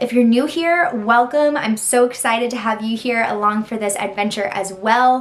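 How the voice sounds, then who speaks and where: A woman with an American accent, fairly high in pitch, with lively intonation at a moderate pace over noticeable background noise. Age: 20s. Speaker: content creator. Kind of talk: casual vlog intro. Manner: animated.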